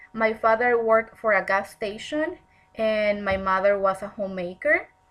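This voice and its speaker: With a Spanish accent, a woman speaks at a fairly slow pace in a bright, sharp tone. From Mexico, Tijuana. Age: 30s. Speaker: counseling student. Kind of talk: personal presentation.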